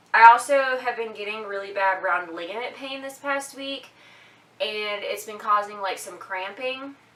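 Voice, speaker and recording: A woman talks at a fairly slow pace. Room echo is audible, and background noise is noticeable. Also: fairly high pitch for a woman, ordinary pitch variation. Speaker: mom vlogger. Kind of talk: casual vlog update. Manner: hesitant, many fillers.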